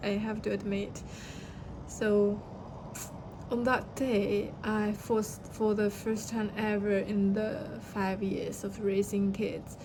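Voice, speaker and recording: Very slowly and in a flat monotone, a woman with a Chinese accent speaks at medium pitch, with noticeable background noise and audible room echo. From China. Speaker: vlogger. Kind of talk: personal story. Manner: halting.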